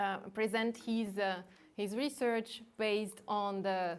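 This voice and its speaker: A woman with a non-native accent talks at a medium pitch with fairly even intonation. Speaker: academic moderator. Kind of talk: seminar introduction. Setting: academic seminar, in person and online. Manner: halting, many fillers.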